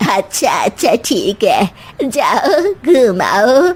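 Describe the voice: This high-pitched, cartoonish character voice swings very widely in pitch.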